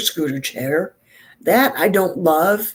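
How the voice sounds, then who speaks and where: In an American accent, a woman talks at a very slow pace with lively intonation. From New York. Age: 60s. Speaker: beauty vlogger. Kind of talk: casual chat.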